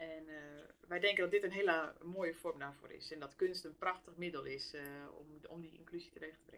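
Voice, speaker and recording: A plain, everyday voice, at a fairly quick pace with fairly even intonation. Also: woman, fairly low pitch for a woman, big swings in loudness. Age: 30s. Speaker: theatre business manager. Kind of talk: interview.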